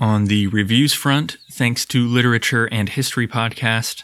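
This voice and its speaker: Calm in tone, a man talks at a medium pitch. His pace is fairly slow. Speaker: podcast host. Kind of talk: scripted narration. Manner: calm, even, formal.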